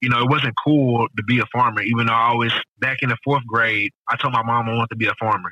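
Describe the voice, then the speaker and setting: A man's medium-pitched voice at a very fast pace, flat and monotone in intonation, with very even loudness. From Houston, Texas (Acres Homes, north side). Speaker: urban farmer and spice company owner. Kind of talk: casual interview.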